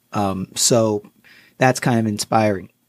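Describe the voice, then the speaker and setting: In a dry, close sound with no echo, a man with an American accent has an unremarkable speaking voice, medium pitch and ordinary pitch variation. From US Connecticut. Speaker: guest, finance author and artist. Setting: studio. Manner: easygoing, upbeat and chatty; fills lines with 'you know' and overlapping thank-yous.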